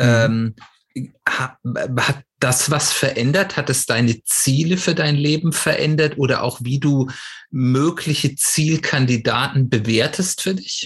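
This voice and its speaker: At a very slow pace, the voice is somewhat breathy, with very even loudness. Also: man, fairly high pitch for a man, ordinary pitch variation. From Swabia, southwestern Germany. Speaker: podcast host. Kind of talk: interview.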